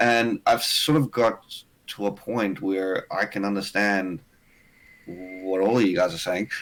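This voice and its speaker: Speaking with a South African accent, a man has a fairly low pitch and ordinary pitch variation. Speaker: streamer. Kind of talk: casual chat. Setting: video call.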